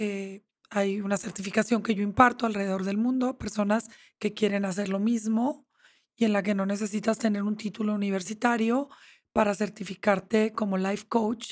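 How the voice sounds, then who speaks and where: Here is a woman with a normal speaking voice and medium pitch. Her intonation is fairly even, and her pace is moderate. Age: 50s. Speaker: therapist. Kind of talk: interview. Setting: studio.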